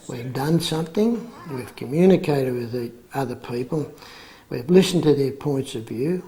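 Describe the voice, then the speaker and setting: Over noticeable background noise, a man with an Australian accent talks at a moderate pace, his fairly high voice carrying lively intonation. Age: 60s. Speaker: men's group facilitator. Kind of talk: interview testimony. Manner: halting.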